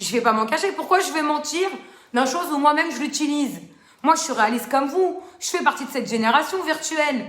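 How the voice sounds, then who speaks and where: Loud and animated, a woman talks at a fairly quick pace with audible room echo. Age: 30s. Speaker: social media live host. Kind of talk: live stream talk to viewers.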